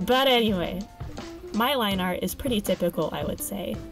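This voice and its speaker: With music in the background, a woman of medium pitch speaks at a moderate pace with lively intonation. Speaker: digital artist. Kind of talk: casual product review and art tutorial voiceover.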